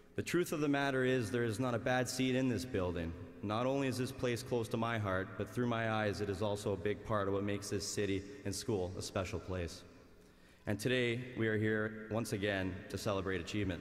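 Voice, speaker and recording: A fairly low-pitched man speaks at a fairly quick pace with very even loudness and ordinary pitch variation. Room echo is audible. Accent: Canadian. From Canada, Winnipeg, Manitoba. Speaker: graduating student, valedictorian. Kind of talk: commencement speech. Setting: arena with large audience.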